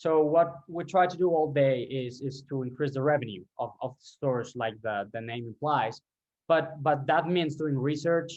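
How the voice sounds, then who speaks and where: A man speaks fairly slowly in a Colombian accent. His fairly high pitch shows ordinary variation. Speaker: ecommerce revenue optimization specialist. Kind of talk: interview podcast. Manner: halting, many fillers and repeats.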